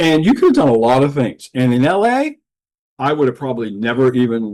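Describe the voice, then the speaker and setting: Moderate-paced male speech at a medium pitch, its pitch varying in an ordinary way. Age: 60s. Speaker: film producer. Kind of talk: casual chat. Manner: halting.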